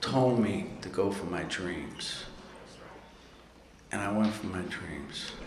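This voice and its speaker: A man with a New York accent at a very slow pace, with noticeable background noise and audible room echo. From New York City. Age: 60s. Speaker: recovery speaker. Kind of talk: recovery talk at convention. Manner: casual, profane storytelling.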